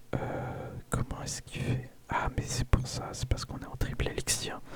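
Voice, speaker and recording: Very slow whispering from a man amid clearly audible background noise. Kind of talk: casual gameplay commentary. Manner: whispered.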